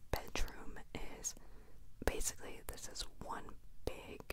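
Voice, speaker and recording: A woman talks against loud background noise. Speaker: vlogger. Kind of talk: casual vlog chat. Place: home room. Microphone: handheld.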